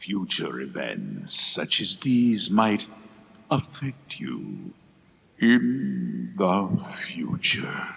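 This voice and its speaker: A put-on character voice, sinister and menacing in tone, at a very slow pace. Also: man, fairly low pitch for a man. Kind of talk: formal, theatrical. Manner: sinister, menacing.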